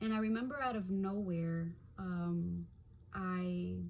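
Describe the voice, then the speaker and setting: A woman's mid-range voice comes through with clear background noise behind it. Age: 30s. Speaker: stroke survivor. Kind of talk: personal testimony. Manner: halting, with frequent fillers; occasional stuttering and blanking out.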